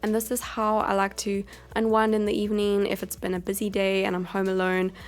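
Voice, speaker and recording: With music in the background, a woman speaks at a fairly quick pace and medium pitch. Her intonation is monotone and flat. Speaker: lifestyle vlogger. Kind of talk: vlog voiceover narration. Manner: casual, chatty.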